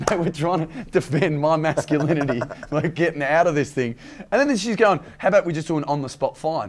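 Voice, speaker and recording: A fairly quick Australian accent with ordinary pitch variation over noticeable background noise. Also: man, fairly high pitch for a man. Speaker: comedian. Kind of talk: casual chat.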